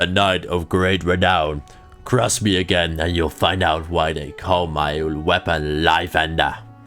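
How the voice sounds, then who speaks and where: Over clear background music, a man puts on a gruff, strained character voice with a very deep, low pitch, speaking at a moderate pace with fairly even intonation. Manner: gruff, heroic.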